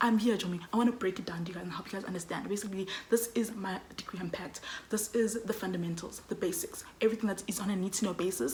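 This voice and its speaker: Over noticeable background noise, a woman talks at a very fast pace in a medium pitch with ordinary pitch variation. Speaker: student vlogger. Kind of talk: casual vlog talk. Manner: loud, energetic.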